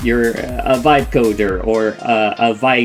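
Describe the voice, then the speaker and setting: A man is speaking. Music plays in the background. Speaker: VTuber streamer. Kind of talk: livestream commentary.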